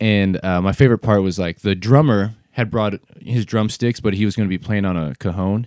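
A man speaks with an American accent in an ordinary speaking voice, fairly low in pitch and at a fairly quick pace. The sound is dry and close, with no echo. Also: ordinary pitch variation. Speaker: rapper and videographer. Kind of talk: casual chat.

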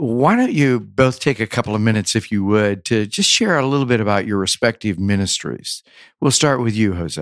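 An unremarkable speaking voice belongs to a man at medium pitch with ordinary pitch variation. He moves at a fairly quick pace on a very clean recording with a silent background. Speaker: podcast interviewer. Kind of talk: interview conversation. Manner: formal.

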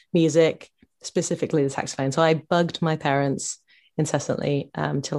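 A woman's very deep, low voice in a southern English accent, at a fairly quick pace against a quiet background. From England, Bedford, Bedfordshire. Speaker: singer-songwriter. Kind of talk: casual interview.

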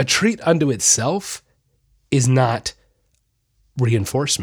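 The speaker sounds somewhat breathy and animated, talking at a fairly slow pace. The pitch swings very widely. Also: man. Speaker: podcast host, animal behavior specialist. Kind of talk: casual monologue. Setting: studio.

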